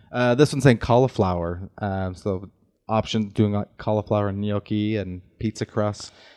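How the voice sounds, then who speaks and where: Fairly even intonation marks a man's fairly low voice. He talks at a moderate pace against a quiet background. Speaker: podcast co-host. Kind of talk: casual podcast interview.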